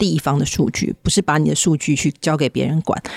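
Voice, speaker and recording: Over noticeable background noise, a woman talks at a very fast pace in a very deep, low pitch, the sound dry and close with no echo. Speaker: podcast host, tech company executive. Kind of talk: interview.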